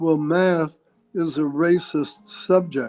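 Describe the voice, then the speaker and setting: Against music in the background, a man with a New Jersey accent talks at a fairly high pitch with fairly even intonation, his sound dry and close with no echo. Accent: New Jersey American. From North Bergen, New Jersey. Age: 80s+. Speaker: Wall Street financier, former Secretary of Commerce. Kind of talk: interview answer.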